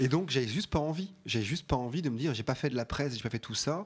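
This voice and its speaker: A man talks at a very fast pace with lively intonation. The recording is very clean, and the background is silent. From Alsace, France. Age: 40s. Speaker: regional culture magazine publisher. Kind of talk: radio interview.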